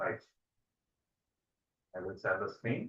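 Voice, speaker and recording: A man speaks in a bright, sharp tone. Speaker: physics teacher. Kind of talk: online lecture. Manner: loud; hesitant, many fillers.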